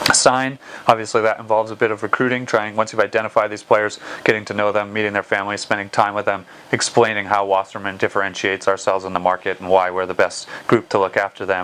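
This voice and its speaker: Noticeable background noise sits under this man's American accent. His delivery is monotone and flat at a very fast pace. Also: fairly low pitch for a man. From United States. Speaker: football agent. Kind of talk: interview. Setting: office.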